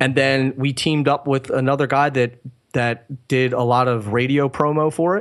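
This man has an ordinary speaking voice with an American accent and medium pitch. His pace is moderate and his pitch variation ordinary. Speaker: drummer. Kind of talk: interview.

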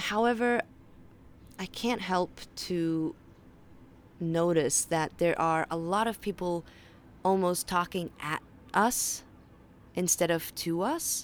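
A woman in a Faroese accent speaks very slowly in a fairly low voice with ordinary pitch variation, leaving long, frequent pauses. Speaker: podcast host, health and mindset educator. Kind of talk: solo monologue podcast. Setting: outdoors on a balcony.

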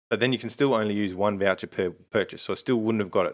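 A very fast delivery in an Australian accent, with ordinary pitch variation, on a very clean recording with a silent background. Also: man. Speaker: podcast co-host. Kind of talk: casual chat. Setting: home recording.

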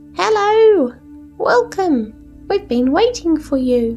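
Over clear music in the background, a squeaky, high put-on character voice swings very widely in pitch at a fairly slow pace. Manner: friendly, welcoming.

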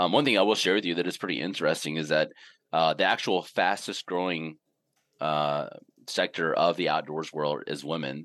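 Against a quiet background, a man speaks at a moderate pace with a very deep, low pitch and fairly even intonation. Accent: Southern US. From US South, Mississippi. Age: 40s. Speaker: outdoor gear company CEO. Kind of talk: casual interview. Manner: halting, many fillers.

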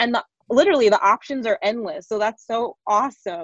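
The pace stays moderate. It's a woman's voice. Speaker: podcast host. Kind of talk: casual interview. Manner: high energy; animated.

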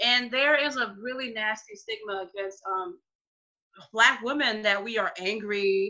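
Using a normal speaking voice, a woman in an American accent talks fairly slowly at a fairly high pitch with ordinary pitch variation. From New Orleans, US South. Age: 20s. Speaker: dog trainer guest. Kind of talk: casual interview.

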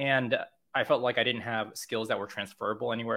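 An American accent marks a man's ordinary speaking voice. His pitch is medium, with ordinary pitch variation. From California, US. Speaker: content marketer and SEO educator. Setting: remote call.

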